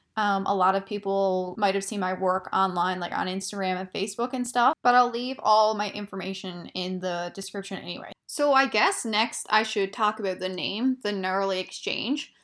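A woman with a plain, everyday voice speaks at a medium pitch and a moderate pace, with fairly even intonation. She uses hardly any pauses, and the recording is very clean with a silent background. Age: 20s. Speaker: podcast host. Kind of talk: casual monologue.

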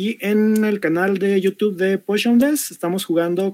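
A man talks at a fairly slow pace in a high voice. The sound is dry and close, with no echo. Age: 40s. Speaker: tabletop RPG game master. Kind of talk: panel discussion.

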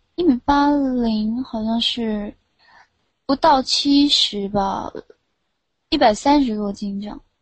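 Over music in the background, a woman speaks at a very slow pace with ordinary pitch variation. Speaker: caller on late-night voice chat show. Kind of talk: casual chat. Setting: online voice chat room.

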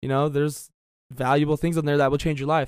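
In a very clean recording with a silent background, a man with a fairly high pitch and fairly even intonation speaks in a plain, everyday voice. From South Florida. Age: 20s. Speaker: financial trader and trading educator. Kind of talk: casual chat.

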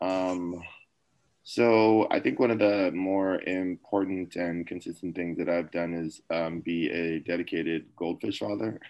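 This man has a very deep, low voice and fairly even intonation. He talks at a fairly slow pace against a quiet background. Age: 30s. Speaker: anesthesia resident doctor. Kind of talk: casual interview.

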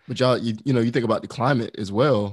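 A man with an American accent talks at a medium pitch in an unremarkable speaking voice, his intonation fairly even, on a very clean recording with a silent background. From US South. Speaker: podcast co-host. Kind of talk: casual chat.

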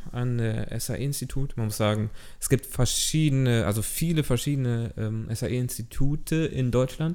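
A man's plain, everyday voice at a medium pitch and fairly slow pace, with ordinary pitch variation. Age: 20s. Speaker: podcast host, film student. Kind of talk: casual chat. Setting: studio, recorded on camera.

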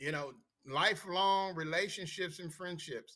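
The speaker has an American accent and a fairly slow pace. Music plays in the background. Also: man. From Washington DC. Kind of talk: interview.

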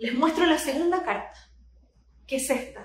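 In a room with audible echo, a woman speaks fairly slowly in a high pitch with ordinary pitch variation. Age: 40s. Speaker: astrologer. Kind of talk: live talk to online audience. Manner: animated.

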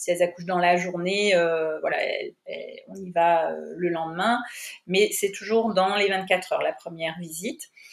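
Loudness rising and falling sharply in a woman's moderately paced speech. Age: 50s. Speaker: midwife. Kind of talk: interview. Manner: halting.

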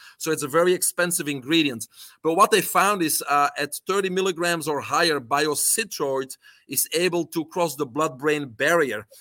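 A man's fairly high, bright, sharp voice with a Belgian accent, moderate pace and ordinary pitch variation, in a dry, close sound with no echo and a very clean recording with a silent background. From Belgium. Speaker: health coach and supplement entrepreneur. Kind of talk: interview.

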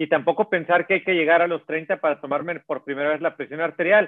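A man's ordinary speaking voice, fairly high in pitch, with ordinary pitch variation and a fairly quick pace. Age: 50s. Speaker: cardiologist. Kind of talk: interview.

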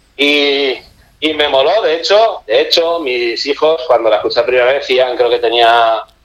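Speaking at a moderate pace, a man has a normal speaking voice. His pitch sits fairly high, with ordinary pitch variation. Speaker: book section contributor. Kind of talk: casual chat. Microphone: phone line with echo.

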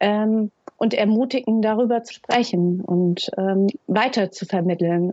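With fairly even intonation and a fairly high pitch, a woman talks at a very slow pace. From Hesse, Germany. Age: 30s. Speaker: founder of a young carers' initiative. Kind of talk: interview. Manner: halting, many fillers.

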